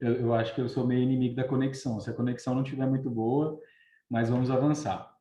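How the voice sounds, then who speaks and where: A man's medium-pitched, somewhat breathy voice with a dark, mellow tone, flat monotone delivery, fairly quick pace and audible room echo. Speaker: recruitment consultant. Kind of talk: online webinar talk. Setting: live video stream. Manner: fast.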